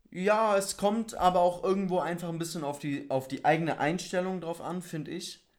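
A man speaks at a high pitch and a moderate pace. His intonation stays fairly even, with hardly any pauses. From Bavaria, Germany. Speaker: podcast co-host. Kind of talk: casual chat.

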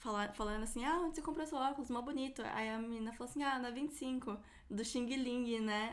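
Audible room echo surrounds speech with ordinary pitch variation. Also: woman. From Brazil. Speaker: podcast host. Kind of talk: casual chat.

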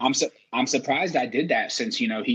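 Talking fairly quickly, a man speaks in a Southern US accent. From Mississippi (Biloxi). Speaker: podcast host and army veteran. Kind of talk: casual chat.

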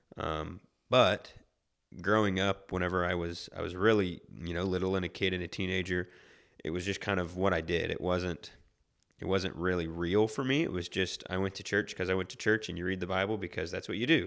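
A man's very deep, low voice with an American accent at a fairly quick pace. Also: fairly even intonation, very clean recording, silent background. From Oklahoma City. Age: 20s. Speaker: minister. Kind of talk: casual chat.

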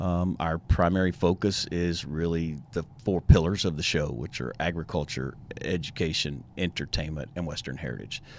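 A man with a Texan accent and a very deep, low voice, at a moderate pace with hardly any pauses and ordinary pitch variation. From East Texas, Tyler. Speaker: rodeo volunteer committee chair. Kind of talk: casual interview. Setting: studio.

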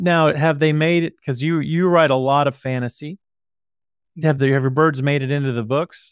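A man with a plain, everyday voice speaks at a moderate pace and fairly high pitch, his intonation fairly even. The sound is dry and close with no echo, over a quiet background. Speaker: podcast host. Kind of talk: casual interview chat.

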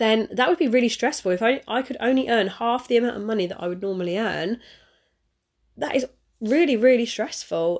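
A slightly mellow tone at a fairly quick pace, with ordinary pitch variation. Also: woman.

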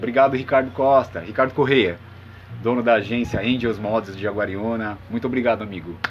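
Noticeable background noise sits under a man talking at a fairly quick pace, his medium pitch showing ordinary variation. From São Paulo state, Brazil (Santo André, ABC Paulista). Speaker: musician and music producer. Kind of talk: casual interview. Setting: at home.

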